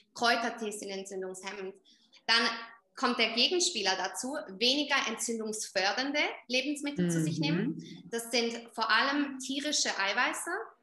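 A woman talks at a moderate pace with lively intonation and a fairly high pitch, and audible room echo surrounds her voice. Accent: Swiss German. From Switzerland. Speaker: skin coach and entrepreneur. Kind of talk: casual interview.

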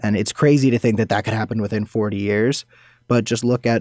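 Using an ordinary speaking voice, a man talks at a fairly quick pace in a fairly low pitch with fairly even intonation, the sound dry and close with no echo. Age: young. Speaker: activist. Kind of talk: casual chat.

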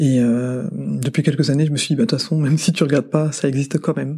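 In a very clean recording with a silent background, a woman speaks in a very deep, low pitch with a dark, mellow tone and ordinary pitch variation. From France. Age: 40s. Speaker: mother sharing experience. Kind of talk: testimony. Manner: halting.

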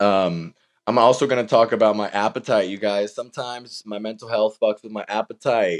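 With an animated tone, a man talks at a fairly quick pace and fairly low pitch, the sound dry and close with no echo over a quiet background. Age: 20s. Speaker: podcast host and author. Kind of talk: casual solo monologue.

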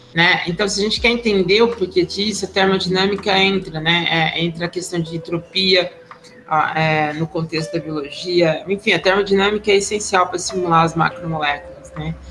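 Over noticeable background noise, a woman with a medium pitch talks at a moderate pace and keeps her intonation fairly even. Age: 50s. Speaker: university professor. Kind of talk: interview. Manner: halting.

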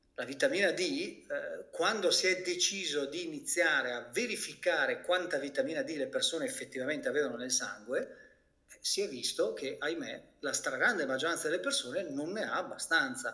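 A man's loudness swings widely as he talks at a fairly quick pace. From Italy. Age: 50s. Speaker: physician and health coach. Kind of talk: interview.

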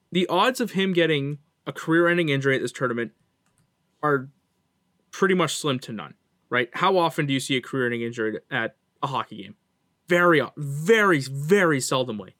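On a very clean recording with a silent background and a dry, close sound with no echo, a man with a Canadian accent and a fairly high pitch talks in a bright, sharp tone at a fairly quick pace, with long, frequent pauses. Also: lively intonation, big swings in loudness. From Canada. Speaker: hockey podcast co-host. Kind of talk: casual chat.

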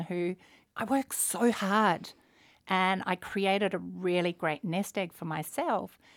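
A woman with an Australian accent speaks at a medium pitch and a very slow pace. The sound is dry and close, with no echo. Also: very clean recording, silent background. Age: 40s. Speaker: entrepreneur, finance company founder. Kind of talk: interview.

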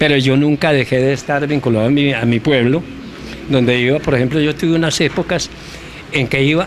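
A man talks at a fairly quick pace in a fairly high pitch. Noticeable background noise runs behind him. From Colombia, Antioquia (Rionegro). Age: 90s. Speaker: former footballer and sports journalist. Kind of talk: interview. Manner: animated.

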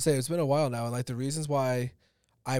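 Speaking at a very fast pace, a man with medium pitch keeps his intonation fairly even. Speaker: podcast host. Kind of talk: casual interview. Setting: studio.

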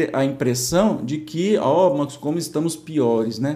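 A man with a dark, mellow tone speaks at a moderate pace, his pitch swinging very widely. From interior of São Paulo state, Brazil. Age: 50s. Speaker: spiritist study presenter. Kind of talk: religious study commentary, casual. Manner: informal, conversational.

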